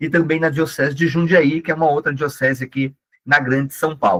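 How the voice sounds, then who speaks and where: A man is speaking. His pitch is fairly high. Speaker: catechist and digital missionary. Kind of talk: online training lecture. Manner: animated.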